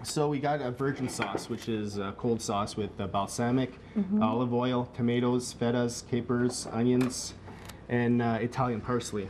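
Through noticeable background noise, a man talks at a moderate pace with fairly even intonation. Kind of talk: cooking demo interview answer. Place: kitchen. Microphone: lapel.

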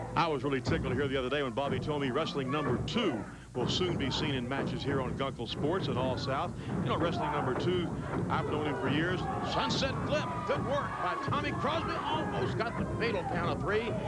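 Energetic and dramatic, a man speaks at a fairly quick pace with a fairly high pitch. The sound is dry with no echo, though loud background noise is present. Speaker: wrestling commentator. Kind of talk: live play-by-play wrestling commentary. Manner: energetic, dramatic play-by-play calling. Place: hall. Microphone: handheld.

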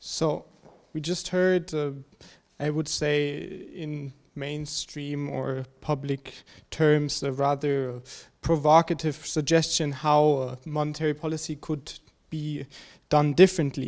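Against a quiet background, a man with a German accent speaks very slowly in a monotone, flat delivery at a fairly high pitch. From Germany. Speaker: graduate student discussant. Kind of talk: presentation. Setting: seminar with audience. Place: hall. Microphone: handheld.

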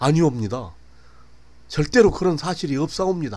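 A man's shaky, put-on character voice, fairly high in pitch with very wide pitch swings and a fairly quick pace, in a very clean recording with a silent background. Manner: trembling, frightened, pleading.

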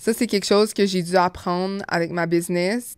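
In a dry recording with no echo and a quiet background, a woman talks at a fairly slow pace and medium pitch. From Montreal, Quebec. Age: 20s. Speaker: podcaster and cosmetics business owner; podcast host. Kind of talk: casual monologue podcast; casual podcast chat. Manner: animated. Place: home room. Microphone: studio mic.

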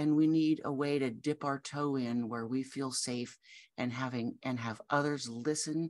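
A woman's very deep, low pitch at a fairly slow pace with fairly even intonation. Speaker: grief coach. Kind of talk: promotional talk to camera. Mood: warm, gentle. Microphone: webcam.

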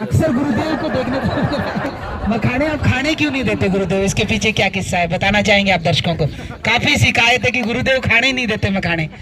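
Against noticeable background noise, a man talks with hardly any pauses. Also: moderate pace. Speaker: interviewer. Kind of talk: interview questions. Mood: respectful, warm. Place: open country. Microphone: handheld.

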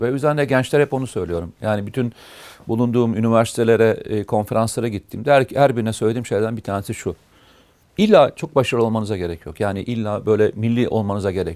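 A man talks fairly quickly at a medium pitch. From Turkey, Amasya and Uşak. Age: 50s. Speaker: retired army officer, security consultant. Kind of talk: interview, life story. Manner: hesitant, frequent filler sounds.

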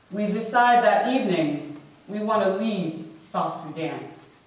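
A woman at a fairly slow pace, with strong room echo. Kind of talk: personal testimony talk. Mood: solemn, measured storytelling. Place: hall. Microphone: camera far.

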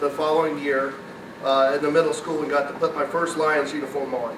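An American-accented man with a fairly high pitch, set against noticeable background noise. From US Midwest. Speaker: former high school athlete. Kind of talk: acceptance speech. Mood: grateful, nostalgic. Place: hall. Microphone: podium.

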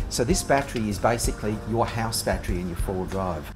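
Clear music plays in the background as a man talks at a fairly quick pace and fairly low pitch, with ordinary pitch variation. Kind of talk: tutorial. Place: workshop.

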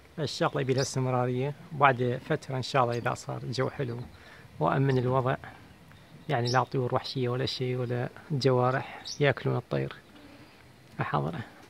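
Over light background noise, a man speaks in a monotone, flat manner at a moderate pace, with a dry sound and no echo. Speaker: bird keeper. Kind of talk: tutorial. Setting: outdoors in garden. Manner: soft-spoken, calm. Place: garden. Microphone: phone near.

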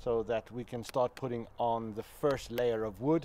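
A man's voice with ordinary pitch variation over music in the background. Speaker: builder vlogger. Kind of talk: casual vlog chat. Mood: upbeat, enthusiastic. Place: garden.

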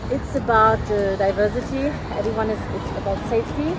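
A woman speaks over music in the background, in a dry sound with no echo. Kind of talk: street interview answer. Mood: cheerful, laughing. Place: street. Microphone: phone near.

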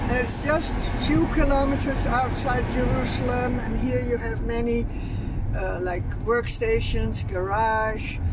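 A woman speaking at a fairly slow pace over loud background noise. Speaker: local guide friend. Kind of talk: casual tour commentary. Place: car. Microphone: phone near.

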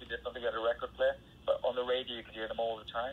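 A man with a Welsh accent at a very fast pace. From Wales. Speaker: rock singer. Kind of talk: interview.

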